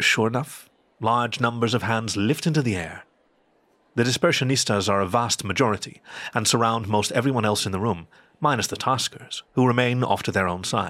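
In a very clean recording with a silent background, a man talks at a fairly quick pace and medium pitch in a bright, sharp tone with ordinary pitch variation. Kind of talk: literary audio drama narration.

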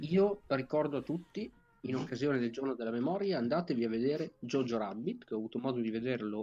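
Lively in intonation, a man talks at a fairly quick pace in a medium pitch. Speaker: gaming podcast co-host. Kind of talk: casual chat. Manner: professorial, explanatory.

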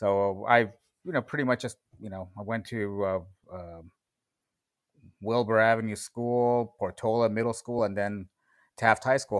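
Speaking fairly slowly with a Californian accent, a man at a medium pitch keeps his intonation fairly even but swings widely in loudness, leaving long, frequent pauses on a very clean recording with a silent background. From US West Coast (West San Fernando Valley, Los Angeles). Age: 40s. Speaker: guest. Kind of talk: casual interview conversation. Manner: halting, many fillers.

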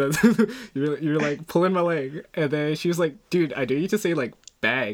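At a moderate pace, a man talks with a slight Canadian accent. His voice sits fairly high for a man, with ordinary pitch variation. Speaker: podcast host. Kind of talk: casual chat. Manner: halting.

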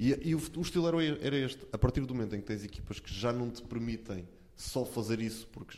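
A man's dark, mellow tone at a fairly quick pace. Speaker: sports commentator. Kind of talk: casual chat.

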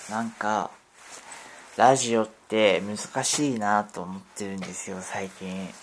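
A man's fairly low voice at a very slow pace, with big swings in loudness and noticeable background noise. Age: 50s. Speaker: podcaster. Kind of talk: casual monologue. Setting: at home. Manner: hesitant, rambling with fillers.

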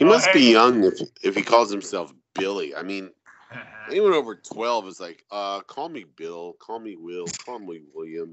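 Lively intonation marks this man's delivery. He speaks at a fairly slow pace, with big swings in loudness. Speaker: podcast panelist.

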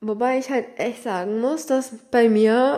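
Fairly high female voice, its pitch varying in an ordinary way. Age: 20s. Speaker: solo podcast host. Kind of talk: casual monologue.

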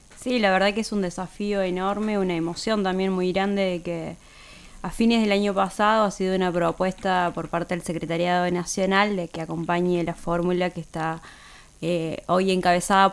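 With a plain, everyday voice, a woman speaks at a moderate pace with a medium pitch and fairly even intonation. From Santiago del Estero, Argentina. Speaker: politician. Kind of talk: radio interview. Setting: studio.

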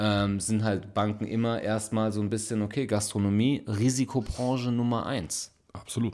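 Hardly pausing, a man with a fairly low pitch speaks at a moderate pace in a monotone, flat intonation. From Frankfurt, Germany. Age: 30s. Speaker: podcast co-host and bar owner. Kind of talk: casual chat. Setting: recording late at night at home.

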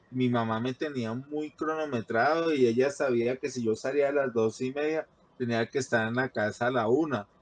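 A man talks at a medium pitch with fairly even intonation. His is a plain, everyday voice. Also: dry, close sound with no echo. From Colombia, Bogotá. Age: 40s. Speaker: hypertension patient sharing life story. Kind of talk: testimony.

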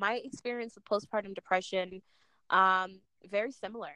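A woman's ordinary speaking voice with an American accent, medium pitch and a moderate pace, in a dry, close sound with no echo. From Jamaica. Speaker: podcast host. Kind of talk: casual chat.

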